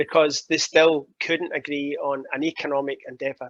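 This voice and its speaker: A man with a Glaswegian accent, dry and close with no echo, over a quiet background. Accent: Glaswegian Scottish. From Scotland, Glasgow. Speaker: keynote speaker on climate policy. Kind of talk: interview talk at online summit. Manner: animated.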